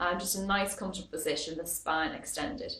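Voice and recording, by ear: Audible room echo surrounds a woman speaking at a fairly low pitch.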